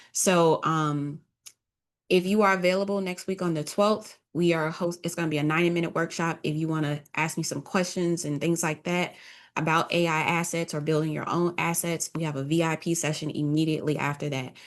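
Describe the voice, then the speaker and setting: A woman speaks at a fairly quick pace in a fairly low pitch against a quiet background. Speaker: business coach and online creator. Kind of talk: casual livestream talk. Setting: social media livestream. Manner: loud, yelling at times; animated, informal.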